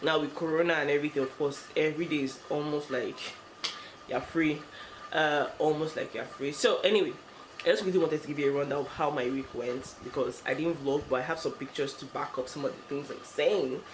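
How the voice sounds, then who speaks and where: A woman's very deep, low voice, fairly even in intonation and fairly quick, with audible room echo and noticeable background noise. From Nigeria. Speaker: lifestyle vlogger. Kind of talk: vlog. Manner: fast.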